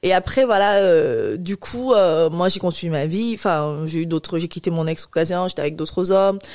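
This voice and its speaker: A woman with a normal speaking voice talks at a moderate pace, her fairly low pitch moving with ordinary variation, on a very clean recording with a silent background. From Cameroon. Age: 30s. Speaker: infertility patient association president. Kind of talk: interview testimony.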